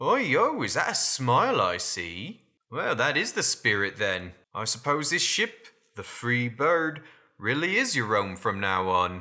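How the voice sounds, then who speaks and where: In a put-on character voice, a man drawls at a fairly slow pace and a medium pitch. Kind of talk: salty sailor storytelling. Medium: solo performance. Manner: folksy, drawling, full of sailor slang.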